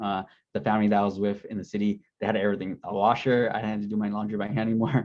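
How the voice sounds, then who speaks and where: Against a quiet background, a man talks at a very fast pace. His pitch is fairly low. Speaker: Peace Corps recruiter and returned volunteer. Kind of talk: info session presentation. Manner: casual.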